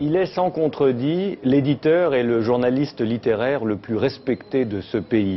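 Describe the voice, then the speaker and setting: A man's plain, everyday voice at a medium pitch, fairly slow in pace, with lively intonation and hardly any pauses. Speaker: interviewer. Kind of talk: TV interview questions and introduction.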